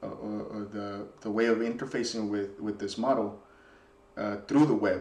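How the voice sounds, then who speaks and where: Audible room echo surrounds a man speaking with a Spanish accent. His pitch is fairly low. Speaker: software developer. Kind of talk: casual reflective monologue. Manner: halting, many repetitions and fillers.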